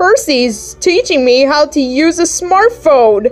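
A female-sounding put-on character voice speaks at a fairly slow pace over faint music in the background. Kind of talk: comic dub. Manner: confident, boastful.

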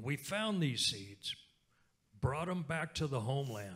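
Over a quiet background, a man with an American accent talks in a bright, sharp tone. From Oklahoma, Lenape (Delaware Tribe) community; Oklahoma. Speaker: speaker. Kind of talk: keynote talk on stage. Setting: stage with audience. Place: hall. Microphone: handheld.

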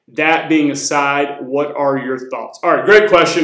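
A man with an American accent and a fairly high pitch, at a moderate pace with fairly even intonation, audible room echo and a quiet background. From US South, rural North Florida; Florida. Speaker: fitness coach. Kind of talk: casual Q&A video. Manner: casual, conversational. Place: home room.

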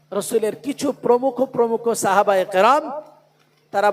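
A loud man speaks with ordinary pitch variation. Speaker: Islamic preacher. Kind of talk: sermon. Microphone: poor PA sound.

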